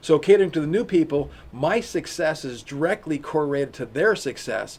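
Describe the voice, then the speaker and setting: Fairly high in pitch, a man talks at a fairly quick pace. He has an ordinary speaking voice with ordinary pitch variation. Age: 60s. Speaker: e-commerce company founder and CEO. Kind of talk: interview.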